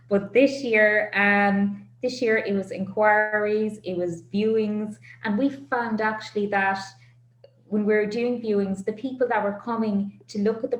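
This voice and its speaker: Amid noticeable background noise, a woman speaks slowly-ish at a fairly high pitch, keeping a fairly slow pace and fairly even intonation. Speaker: auctioneer. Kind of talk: business interview answer.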